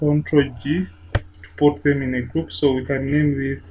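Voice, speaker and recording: Over noticeable background noise, the speech unfolds very slowly. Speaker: photographer and photo editing tutor. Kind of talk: tutorial. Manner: hesitant, many fillers.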